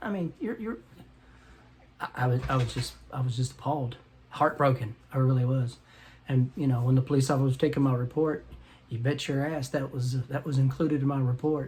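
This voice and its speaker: His intonation holds fairly even. The man's voice is somewhat breathy. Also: medium pitch for a man. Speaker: vlogger; military veteran. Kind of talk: casual vlog monologue. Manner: stammering, repeats words.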